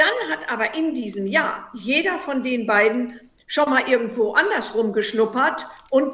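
Intonation is lively while the delivery stays fairly slow. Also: woman. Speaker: heartbreak counselor and author. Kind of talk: interview.

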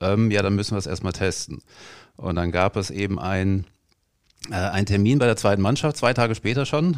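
Over a silent background in a very clean recording, the speaker moves at a fairly quick pace with ordinary pitch variation and long, frequent pauses. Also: man, fairly low pitch for a man. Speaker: stadium announcer. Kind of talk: casual interview. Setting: training ground room. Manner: calm.

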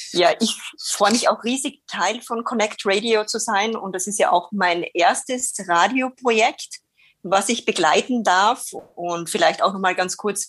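A woman with an Austrian accent, fairly high in pitch with ordinary variation, at a fairly slow pace. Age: 30s. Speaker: radio co-host. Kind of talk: casual chat. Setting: video call.

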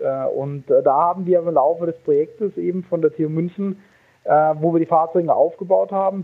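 At a moderate pace, a man delivers his words in a high pitch with fairly even intonation. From Baden, Karlsruhe. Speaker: engineer and startup founder. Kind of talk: interview. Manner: hesitant, many fillers.

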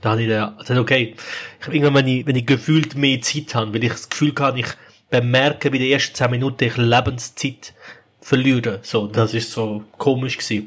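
Speaking at a fairly quick pace, a man with a medium-pitched, somewhat breathy voice keeps his intonation fairly even. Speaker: podcast co-host. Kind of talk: casual chat.

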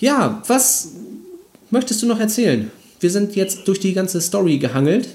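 This man has a high voice and lively intonation, speaking at a moderate pace. His loudness stays very even, broken by long, frequent pauses. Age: 30s. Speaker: video game podcast host. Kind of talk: casual chat.

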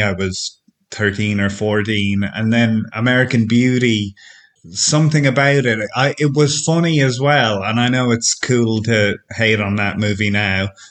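Speaking in an Irish accent, a man has a medium-pitched voice with ordinary pitch variation. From Ireland. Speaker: film stills website curator. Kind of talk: interview.

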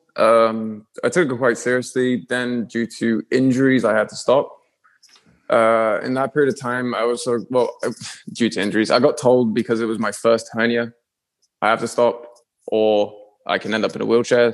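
Speaking at a moderate pace with long, frequent pauses, a man keeps a medium pitch and fairly even intonation. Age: 20s. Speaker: calisthenics athlete and video creator. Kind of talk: casual interview chat.

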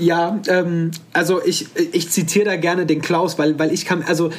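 A man's voice shows ordinary pitch variation, with noticeable noise in the background. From Hesse, Offenbach area near Frankfurt. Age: 30s. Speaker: bone cancer survivor, one-legged mountaineer. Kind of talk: interview, personal story. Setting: video call from home.

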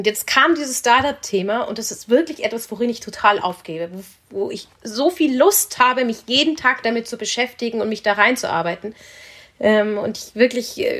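A woman with an unremarkable speaking voice talks at a moderate pace and a fairly high pitch. Her intonation is lively, with big swings in loudness. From Munich, Bavaria. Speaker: business angel investor. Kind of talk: podcast interview.

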